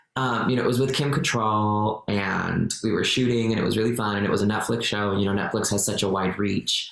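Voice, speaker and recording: Over noticeable background noise, a man talks at a fairly quick pace with hardly any pauses, a fairly low pitch, fairly even intonation, and very even loudness. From Mexico. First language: Spanish. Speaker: actor and activist. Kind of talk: podcast interview.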